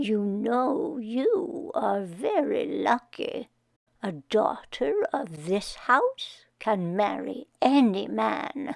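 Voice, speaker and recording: A woman does a put-on character voice. It's fairly high-pitched and very slow. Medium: read story. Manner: gentle, measured.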